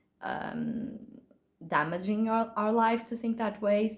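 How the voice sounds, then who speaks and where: A woman speaks with a Portuguese accent at a very slow pace. Her voice is somewhat breathy. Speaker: author. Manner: halting.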